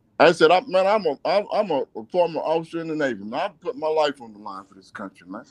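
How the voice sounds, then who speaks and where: A man with a high pitch talks at a very fast pace with hardly any pauses and very wide pitch swings, in a dry, close sound with no echo. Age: 60s. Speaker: community activist and former navy officer. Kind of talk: radio interview, personal story. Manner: halting, many fillers and repeats; animated, emotional.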